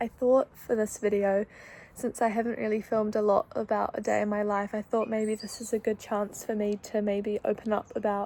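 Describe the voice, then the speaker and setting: Her sound dry and close with no echo, a woman speaks at a fairly high pitch and moderate pace, with a dark, mellow tone and monotone, flat intonation. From New Zealand (Wellington). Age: 20s. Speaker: vlogger, kindergarten teacher. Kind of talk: casual vlog talk.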